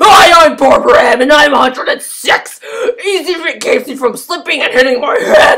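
The man's pitch is extremely high, swinging very widely as he talks. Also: moderate pace. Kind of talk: infomercial testimonial parody. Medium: fan dub. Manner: cheerful, proud.

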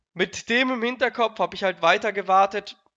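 With a raised, projected voice, a man speaks at a very slow pace. His tone is bright and sharp against a quiet background. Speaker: streamer. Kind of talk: casual storytelling vlog chat. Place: home room. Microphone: headset.

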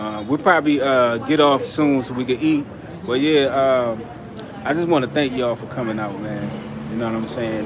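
A man talks at a moderate pace with ordinary pitch variation. Noticeable background noise is present. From Pennsylvania. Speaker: travel vlogger. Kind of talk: casual chat. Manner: energetic. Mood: relaxed, grateful. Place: street. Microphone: phone near.

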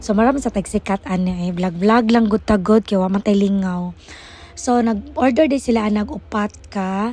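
With ordinary pitch variation, the words come out at a fairly slow pace. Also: woman. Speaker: store vendor vlogger. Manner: animated, sing-song pitchman delivery, upbeat and chatty.

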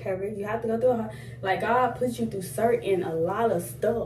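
A woman talks at a moderate pace, with audible room echo and light background noise. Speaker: vlogger. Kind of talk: casual vlog chat. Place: bathroom. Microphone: phone near.

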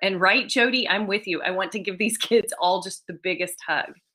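The woman's voice has a bright, sharp tone. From US South, East Tennessee. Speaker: children's author. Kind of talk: author talk. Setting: video call.

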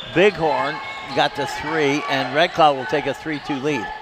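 A man at a fairly slow pace, dry sound with no echo, loud background noise behind him. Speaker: radio play-by-play announcer. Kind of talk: sports commentary. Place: hall.

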